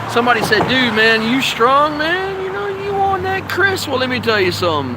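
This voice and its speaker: A man speaks in a raised, projected voice with very wide pitch swings. Noticeable background noise runs underneath. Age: 50s. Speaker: vlogger and professional wrestler. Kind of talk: casual vlog monologue. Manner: fast, talks without pausing for breath.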